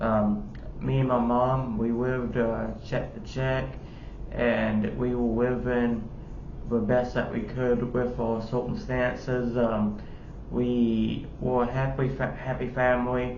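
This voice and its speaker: Speaking very slowly with monotone, flat intonation, a man is heard amid audible room echo and noticeable background noise. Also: medium pitch for a man. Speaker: YouTuber. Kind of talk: personal testimony. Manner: halting, many fillers.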